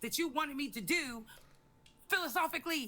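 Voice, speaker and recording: A woman speaks in a raised, projected voice that is high-pitched, bright, and sharp. Her pitch variation is ordinary. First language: not English. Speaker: livestream host. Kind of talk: heated debate. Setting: livestream. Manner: loud.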